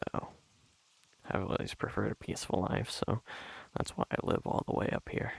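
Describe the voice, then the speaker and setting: Soft-spoken and very even in loudness, a man talks at a fairly quick pace with long, frequent pauses in a dry, close sound with no echo. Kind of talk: soft-spoken ASMR ramble.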